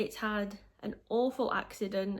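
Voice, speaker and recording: On a very clean recording with a silent background, a woman speaks at medium pitch with fairly even intonation. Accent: Yorkshire. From northern England, Yorkshire. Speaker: book vlogger. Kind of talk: casual book review.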